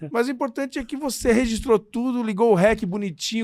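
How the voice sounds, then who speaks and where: Speech comes at a very fast pace. The pitch moves in an ordinary way. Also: man. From Brazil, Santo André (São Paulo area). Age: 40s. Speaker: radio and TV comedy host. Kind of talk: casual interview chat.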